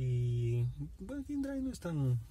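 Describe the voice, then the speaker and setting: A man's dark, mellow, somewhat breathy voice. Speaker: taxi app driver vlogger. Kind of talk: casual vlog chat. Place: car. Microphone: phone near.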